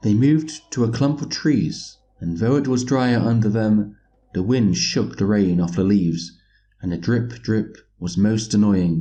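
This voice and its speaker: A man with a British accent, dark and mellow in tone, with lively intonation at a fairly slow pace. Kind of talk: audiobook reading.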